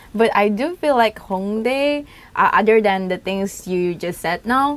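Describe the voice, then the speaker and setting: Her Indonesian accent comes with lively intonation as this woman speaks. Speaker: YouTuber. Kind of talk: casual chat.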